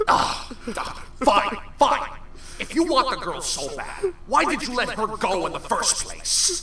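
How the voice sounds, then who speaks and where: Delivered at a fairly slow pace, a put-on character voice comes through with a slight echo and clear background noise. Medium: audio drama. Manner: scolding, sarcastic.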